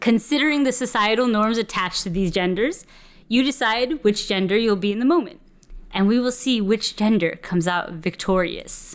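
Over a silent background in a very clean recording, a plain, everyday voice moves at a moderate pace with lively intonation. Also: woman, fairly high pitch for a woman. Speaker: podcast host. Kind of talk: casual chat.

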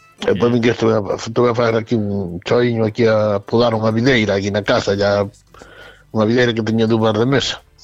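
A man speaks at medium pitch and a fairly quick pace, his loudness very even. His intonation stays monotone and flat over noticeable background noise. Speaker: caller. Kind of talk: casual chat.

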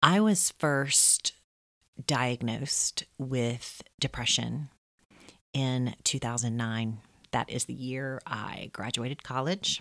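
A woman speaks at a very slow pace in a very deep, low voice. Her pitch varies in an ordinary way, and the sound is dry and close with no echo. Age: 30s. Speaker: podcast host. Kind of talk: personal monologue. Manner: casual.

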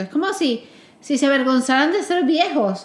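Over noticeable background noise, a woman talks at a fairly quick pace with a high pitch. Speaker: podcast host. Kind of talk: casual chat. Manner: talkative.

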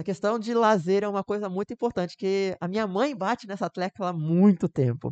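A man with a high pitch talks at a moderate pace. The sound is dry and close with no echo, over a quiet background. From Rio de Janeiro metro area, Brazil (Duque de Caxias). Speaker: medical student. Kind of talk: casual chat. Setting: live streamed podcast.

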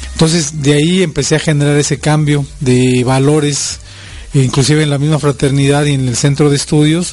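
Noticeable background noise sits behind a man speaking at a moderate pace. His fairly high voice stays monotone, with flat intonation. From Mexico City. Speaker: fraternity president and public speaker. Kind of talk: interview.

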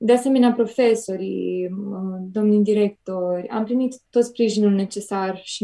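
At a moderate pace, a woman of medium pitch speaks in a plain, everyday voice with fairly even intonation. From Romania, Piatra Neamț. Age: 20s. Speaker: cancer survivor sharing testimony. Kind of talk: religious testimony. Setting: remote call into radio show.

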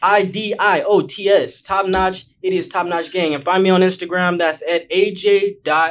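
In an American accent, the speaker goes at a fairly slow pace with monotone, flat intonation and hardly any pauses. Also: man, high pitch for a man. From Bakersfield, California. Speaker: YouTuber. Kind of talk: casual chat.

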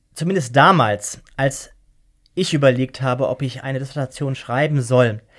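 A man talks at a moderate pace and medium pitch in a normal speaking voice, with ordinary pitch variation. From Germany. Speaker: law professor. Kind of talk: interview.

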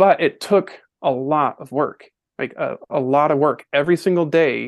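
A man with a fairly high pitch and an unremarkable speaking voice speaks with fairly even intonation. The background is quiet. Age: 40s. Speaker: podcast guest sharing personal story. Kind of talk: testimony.

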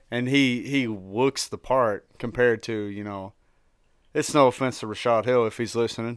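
A man with a slight Tennessee accent, medium pitch, fairly even intonation and moderate pace, in a very clean recording with a silent background. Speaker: sports merchandise seller. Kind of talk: casual chat. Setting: studio.

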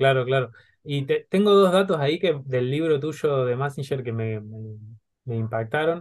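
A man with a plain, everyday voice speaks at a fairly slow pace, fairly high in pitch and with lively intonation. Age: 30s. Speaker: podcast host. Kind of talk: interview.

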